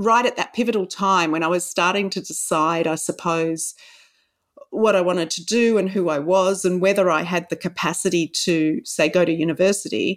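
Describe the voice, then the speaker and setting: A woman with a medium pitch talks in an Australian accent. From Australia, Sydney. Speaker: novelist. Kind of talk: interview.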